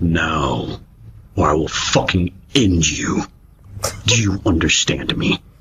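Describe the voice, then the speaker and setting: Putting on a character voice, a man speaks with a very deep, low pitch at a fairly slow pace, leaving long, frequent pauses. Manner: menacing, sultry.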